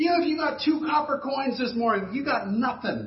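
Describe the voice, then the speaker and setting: Noticeable background noise sits under this moderately paced talk in an American accent. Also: man. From US South, Fort Lauderdale, Florida. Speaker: pastor. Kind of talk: sermon. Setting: church.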